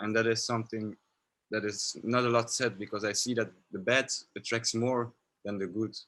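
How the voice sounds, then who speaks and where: A man with a non-native accent speaks at a moderate pace in a medium-pitched voice. His intonation is monotone and flat, with long, frequent pauses. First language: not English. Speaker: filmmaker. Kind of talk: panel discussion.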